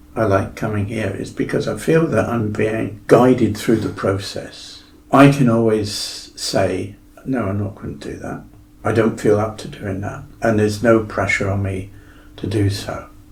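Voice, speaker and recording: A man with a West Country accent speaks at a fairly slow pace with a fairly low pitch and fairly even intonation, in audible room echo. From Devon, south-west England. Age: 70s. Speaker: fitness client sharing his story. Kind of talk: podcast interview.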